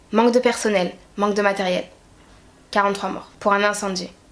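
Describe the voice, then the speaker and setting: A woman's fairly quick speech with ordinary pitch variation, over noticeable background noise. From Guadeloupe. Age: 20s. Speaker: YouTuber. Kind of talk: opinion rant to camera.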